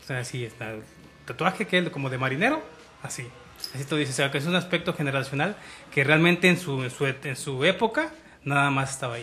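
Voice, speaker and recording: Music plays behind a man who talks very fast at a fairly high pitch. His pitch varies in an ordinary way, and he takes long, frequent pauses. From Mexico, Michoacán. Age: 30s. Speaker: podcast co-host. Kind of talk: casual chat.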